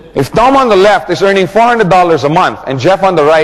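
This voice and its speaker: Over noticeable background noise, a man talks at a fairly quick pace in an animated tone. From Philippines. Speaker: network marketing trainer. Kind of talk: training seminar.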